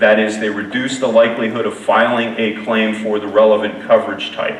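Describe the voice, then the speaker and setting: Noticeable background noise and audible room echo both color this recording. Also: man. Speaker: keynote speaker, insurance safety researcher. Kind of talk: conference keynote presentation. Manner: fast.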